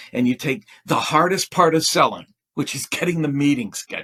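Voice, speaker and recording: With a plain, everyday voice, a man speaks at a fairly high pitch and moderate pace with lively intonation, in a dry, close, very clean recording with no echo and a silent background. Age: 60s. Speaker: sales consultant and author. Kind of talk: podcast interview.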